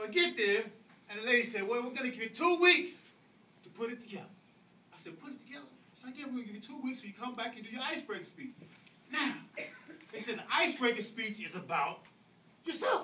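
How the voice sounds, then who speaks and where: A man with an American accent and an extremely high pitch, very fast pace, bright sharp tone, lively intonation and an animated, raised, projected voice, with long frequent pauses and audible room echo. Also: big swings in loudness. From US South, Atlanta, Georgia. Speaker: public speaker at speaking club. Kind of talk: speech to audience.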